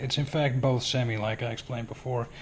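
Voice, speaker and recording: Somewhat breathy, a man talks at medium pitch and a moderate pace. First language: not English. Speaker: airsoft hobbyist video maker. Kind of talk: tutorial. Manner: casual, hesitant.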